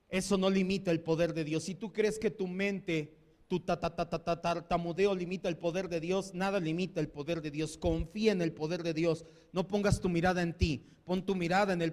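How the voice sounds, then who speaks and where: A man with a central Mexican accent, high in pitch, at a moderate pace. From Mexico. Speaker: pastor. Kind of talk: sermon. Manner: animated.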